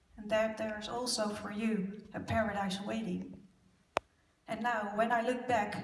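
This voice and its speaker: With audible room echo around her, a woman speaks at a fairly slow pace in a fairly high pitch and a monotone, flat intonation. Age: 40s. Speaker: abuse survivor speaker. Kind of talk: conference presentation. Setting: stage with audience.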